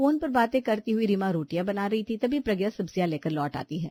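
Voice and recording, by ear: A woman talks at a fast pace with lively intonation and a dark, mellow tone, the sound dry and close with no echo. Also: medium pitch for a woman.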